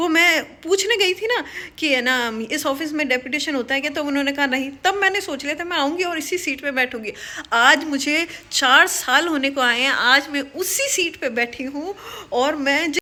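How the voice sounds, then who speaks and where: A woman projects her voice in a raised, high-pitched delivery with a bright, sharp tone. Her pace is moderate and her pitch varies in an ordinary way. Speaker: government office employee and YouTuber. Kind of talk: casual motivational vlog talk. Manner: animated.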